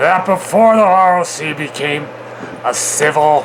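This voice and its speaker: A man puts on a gruff character voice pitched high. He keeps a moderate pace over clear background noise. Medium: read story.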